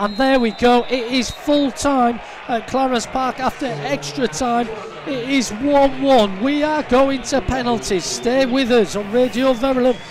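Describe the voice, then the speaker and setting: An animated man talks with an extremely high pitch and ordinary pitch variation. The sound is dry with no echo, and background noise is noticeable. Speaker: football match commentator. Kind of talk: live football commentary. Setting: media booth at stadium. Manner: animated, fast play-by-play; builds excitement at shootout. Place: stadium.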